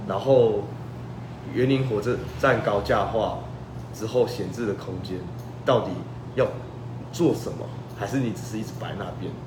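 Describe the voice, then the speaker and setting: A man at medium pitch and moderate pace, with long, frequent pauses, audible room echo and noticeable background noise. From Taiwan, Changhua. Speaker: political candidate. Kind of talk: interview. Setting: livestream. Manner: halting.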